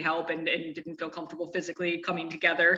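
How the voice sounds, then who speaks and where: Noticeable background noise behind a woman with a fairly low pitch. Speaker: nonprofit representative and university professor. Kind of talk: interview. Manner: fast.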